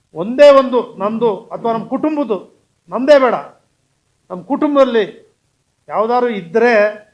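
A man speaks at an extremely high pitch with ordinary pitch variation. His loudness swings a great deal. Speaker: politician. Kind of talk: political statement to press. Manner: emphatic.

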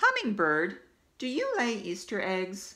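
A female-sounding voice does a put-on character at medium pitch. The pace is fairly slow. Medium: read story. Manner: earnest, polite.

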